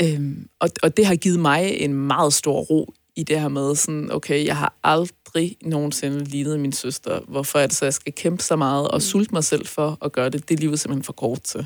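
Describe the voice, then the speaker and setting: Her pitch is very deep and low, and a woman talks at a moderate pace with hardly any pauses. The sound is dry and close, with no echo. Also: fairly even intonation. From North Jutland, Denmark. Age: 30s. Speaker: entrepreneur and podcast guest. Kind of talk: personal interview. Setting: studio.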